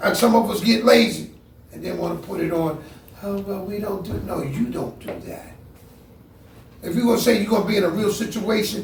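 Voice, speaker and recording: Over noticeable background noise and an audible room echo, a man with a high pitch speaks at a moderate pace, his animated tone showing ordinary pitch variation. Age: 60s. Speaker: martial arts grandmaster. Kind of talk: seminar talk. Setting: martial arts seminar.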